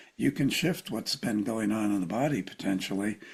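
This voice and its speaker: A man at medium pitch speaks at a moderate pace with vocal fry and ordinary pitch variation. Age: 70s. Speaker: clinical psychologist and author. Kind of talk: interview conversation.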